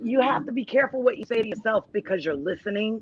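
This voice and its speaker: The speaker has a Rhode Island accent. The intonation is lively. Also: woman. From Texas, Austin. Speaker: talk show guest, domestic violence survivor. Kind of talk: casual chat interview.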